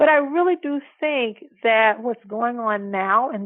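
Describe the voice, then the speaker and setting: A plain, everyday voice with an American accent. The intonation is lively. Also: woman. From US South (Alabama). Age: 60s. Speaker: law professor. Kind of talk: interview.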